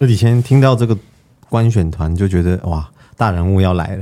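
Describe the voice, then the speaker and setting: A man speaks at a very deep, low pitch in a dark, mellow tone. His pace is fairly quick, with ordinary pitch variation. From Taiwan. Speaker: TV producer. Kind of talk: panel discussion.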